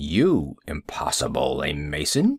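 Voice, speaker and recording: A raspy, put-on character voice from a man, very deep and low, at a fairly slow pace. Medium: read story.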